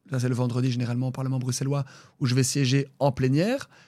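The recording is very clean with a silent background as a man talks at a fairly quick pace. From Brussels, Belgium. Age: 30s. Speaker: regional politician. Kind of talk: interview. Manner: halting, many fillers.

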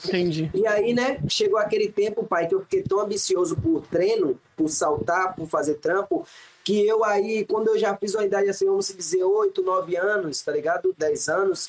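A man's high-pitched voice at very even loudness. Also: ordinary pitch variation, moderate pace. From Salvador, Bahia, Brazil. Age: 20s. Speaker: professional acrobat. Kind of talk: casual interview chat.

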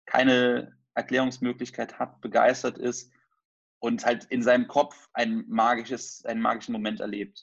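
A man speaks at a moderate pace. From Germany, near Trier. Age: 20s. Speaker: magician. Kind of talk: interview.

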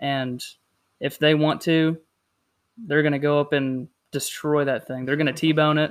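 In a very clean recording with a silent background, a man with an American accent speaks at a fairly slow pace in a fairly high pitch, with fairly even intonation and long, frequent pauses. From South Carolina. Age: 20s. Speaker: fishing podcast co-host. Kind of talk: casual chat.

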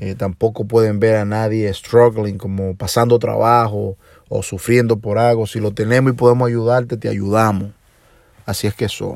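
A man with a Dominican accent speaks at a fairly low pitch with monotone, flat intonation in a very clean recording with a silent background. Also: moderate pace. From Dominican Republic, Puerto Plata. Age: 40s. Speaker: podcast host and DJ. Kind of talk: personal monologue. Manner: hesitant with filler sounds.

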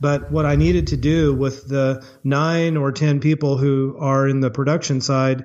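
A man with an American accent has a plain, everyday voice. His pitch is fairly high and his intonation fairly even. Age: 50s. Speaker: chocolate maker and former lawyer. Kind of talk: interview.

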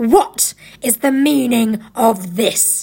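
A woman uses a put-on character voice, fairly high in pitch with a dark, mellow tone, a slightly husky edge and vocal fry. She speaks at a slow pace with ordinary pitch variation.

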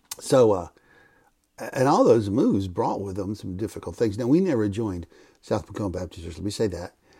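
A man speaks at a fairly low pitch in a dark, mellow, somewhat breathy tone with ordinary pitch variation. His pace is fairly quick, and his loudness swings widely. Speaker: Bible teacher and former pastor. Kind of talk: Bible teaching podcast.

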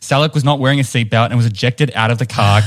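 With a New Zealand accent, the speaker keeps intonation fairly even. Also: man. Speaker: podcast co-host.

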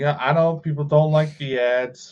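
At a moderate pace, a man with an American accent talks in an ordinary speaking voice, his pitch varying in an ordinary way. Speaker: podcast co-host. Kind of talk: casual banter, chat. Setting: online stream with live chat. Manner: casual, joking, swears.

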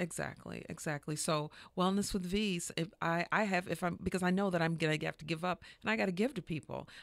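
A woman speaks at a fairly low pitch and fairly quick pace, with vocal fry. Her loudness stays very even on a very clean recording with a silent background. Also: ordinary pitch variation. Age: 50s. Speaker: massage therapist and wellness business owner. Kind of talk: interview.

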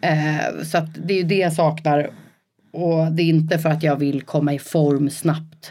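A woman speaks at a fairly slow pace in a very deep, low voice, her tone dark and mellow, her intonation flat and monotone, and her loudness very even. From rural Sweden, Rö. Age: 30s. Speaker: entrepreneur. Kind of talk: casual interview. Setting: studio, coworking space.

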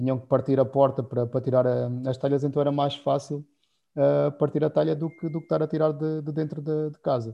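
A man with a fairly high pitch talks at a fairly quick pace in a monotone, flat intonation. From Portugal, Alentejo. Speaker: winemaker. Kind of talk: casual chat.

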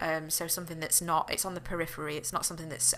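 Speaking very fast in a northern English accent, a woman has a very deep, low pitch and a bright, sharp tone. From northern England. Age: 20s. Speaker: podcast host. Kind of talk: solo casual monologue. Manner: hesitant, many fillers.

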